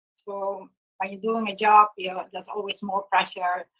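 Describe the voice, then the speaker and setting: A woman at a fairly quick pace, medium in pitch. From Netherlands. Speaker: yoga teacher. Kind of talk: conference talk. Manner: hesitant, many fillers.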